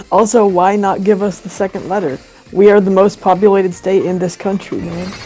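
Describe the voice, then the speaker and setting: With music in the background, a woman talks in an American accent at a medium pitch. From New Jersey (near Philly/New York). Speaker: gaming streamer. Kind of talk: casual chat. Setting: live stream with voice chat.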